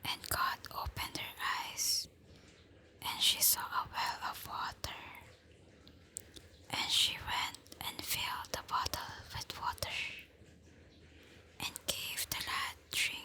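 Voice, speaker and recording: The whispering is calm and very slow, with long, frequent pauses. Noticeable background noise sits behind it. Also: woman. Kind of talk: ASMR bible reading before sleep. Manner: soft-spoken, slow, calm.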